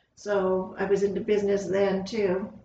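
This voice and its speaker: A woman with an American accent speaks at a medium pitch in a monotone, flat intonation, with audible room echo. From Southern California. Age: 60s. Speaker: school district administrator. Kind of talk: casual interview.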